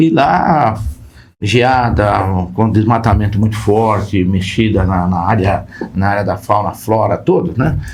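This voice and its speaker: With audible room echo, a man speaks in a somewhat breathy, fairly low voice, his loudness very even and his pitch varying in an ordinary way. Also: fairly slow pace. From Brazil, interior of Paraná, then São Paulo. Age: 70s. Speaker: company founder and board advisor. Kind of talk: podcast interview. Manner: halting, with repetitions.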